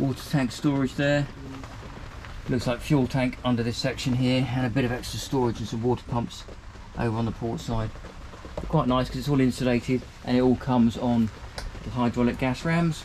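Against light background noise, the voice moves at a fairly quick pace with flat, monotone intonation. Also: man. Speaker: presenter. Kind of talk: tour commentary. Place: boat. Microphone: phone near.

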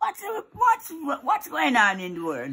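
A woman's raised, projected voice with a Jamaican accent, at a very slow pace over a quiet background. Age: old. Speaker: grandmother. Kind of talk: reaction to video. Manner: angry, agitated. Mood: outraged, indignant. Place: home room.

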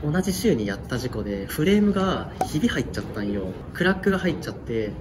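With noticeable background noise behind him, a man speaks at a very fast pace with very wide pitch swings. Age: 20s. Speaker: road cyclist. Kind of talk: interview answer. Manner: casual. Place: home room.

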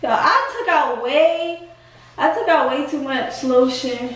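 This woman has a high-pitched voice with fairly even intonation. Audible room echo surrounds her. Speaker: vlogger. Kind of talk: casual vlog chat. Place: bathroom. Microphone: phone near.

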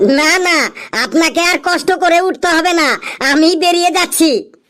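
A whiny, cartoonish character voice pitched extremely high. The pace is moderate. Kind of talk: comic cartoon voice acting. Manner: whiny, pleading, repeating himself.

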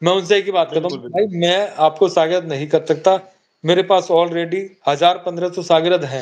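Against a quiet background, a man with a high pitch speaks at a moderate pace with fairly even intonation. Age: 50s. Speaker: pigeon fancier; guest. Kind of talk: casual chat. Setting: live stream. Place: home room. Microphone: phone near.

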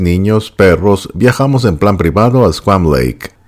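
A man speaks in a very deep, low pitch. His intonation is lively. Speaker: video narrator reading an article. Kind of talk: literary audiobook reading of a first-person memoir article. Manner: measured, smooth, descriptive storytelling pace.

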